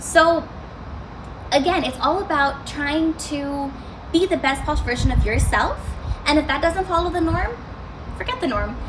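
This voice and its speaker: A high-pitched woman with an American accent at a moderate pace, long, frequent pauses, audible room echo and noticeable background noise. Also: ordinary pitch variation. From Arizona, US, then India from age nine. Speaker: student speaker. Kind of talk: motivational talk.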